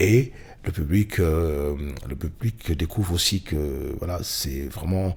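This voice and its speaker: A man's very deep, low voice with vocal fry, ordinary pitch variation and a very slow pace. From Cameroon. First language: Bamileke (speaking French). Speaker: blues musician. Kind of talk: interview. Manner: halting, many fillers.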